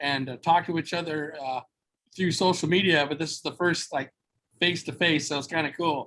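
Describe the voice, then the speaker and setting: A loud man's fairly high, bright, sharp voice in an American accent, fairly quick and with fairly even intonation. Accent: loud American-style. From Southern California, Mexican-American family. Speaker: entrepreneur, former radio worker. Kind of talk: podcast interview. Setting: video call.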